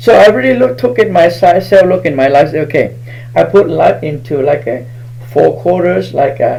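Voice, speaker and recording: Over noticeable background noise, a man with a Southeast Asian accent talks at a moderate pace with lively intonation. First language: Hmong. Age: 60s. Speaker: spiritual healer. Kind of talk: live stream talk.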